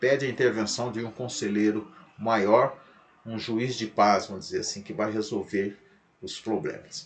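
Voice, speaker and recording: A man speaks in a plain, everyday voice at a medium pitch. His pace is moderate. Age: 60s. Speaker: pastor. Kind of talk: lecture.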